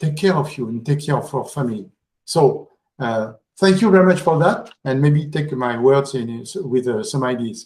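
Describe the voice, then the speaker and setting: A man with a French accent speaks at a moderate pace and a fairly high pitch. His voice is somewhat breathy, with lively intonation. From France. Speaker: conference speaker. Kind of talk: conference talk. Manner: halting, many fillers.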